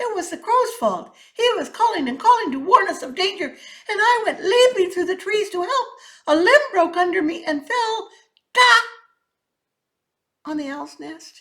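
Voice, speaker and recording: A woman in a put-on character voice speaks at a moderate pace, her pitch extremely high and her voice raised and projected. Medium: read story. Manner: nervous, hurried.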